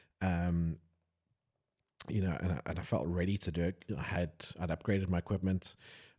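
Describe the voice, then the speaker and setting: A man's very deep, low voice with a South African accent and a dark, mellow tone, fairly quick in pace yet with long, frequent pauses, fairly even in intonation and very even in loudness, in a very clean recording with a silent background. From South Africa, Johannesburg. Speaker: wedding photographer, podcast host. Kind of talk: casual chat.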